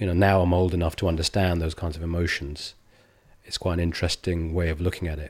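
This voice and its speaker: This man has an English accent and a very deep, low pitch, with monotone, flat intonation at a very fast pace. The recording is very clean, with a silent background. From England. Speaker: comedian. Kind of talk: casual chat. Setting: barber's grooming room.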